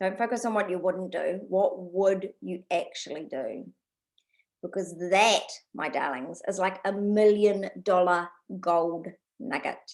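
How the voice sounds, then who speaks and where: Her pitch sits in the medium range. This woman's voice rises and falls in an ordinary way. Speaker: business coach. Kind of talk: online workshop tutorial. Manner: fast; animated.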